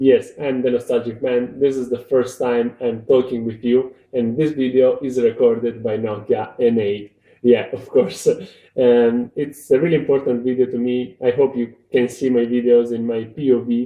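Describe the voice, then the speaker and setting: A flat, monotone delivery in a Romanian accent at a moderate pace. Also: man, medium pitch for a man. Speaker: tech video reviewer. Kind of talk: casual video review. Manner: halting. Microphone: recorded on an old phone.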